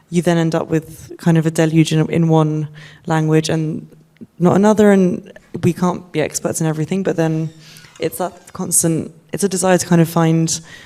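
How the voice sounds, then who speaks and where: The speaking moves at a moderate pace. Background noise is noticeable. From Kosovo. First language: Albanian. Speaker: publishing editor. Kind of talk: panel discussion.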